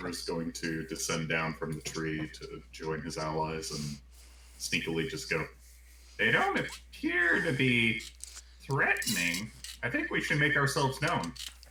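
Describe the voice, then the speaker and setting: A man performs a put-on character voice at a moderate pace. Clear background noise can be heard. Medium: actual play.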